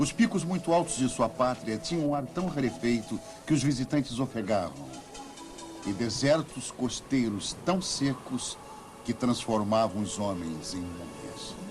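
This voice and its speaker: Music plays in the background as a man talks at a fairly slow pace and medium pitch. His pitch swings very widely. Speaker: voice actor. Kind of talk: documentary narration.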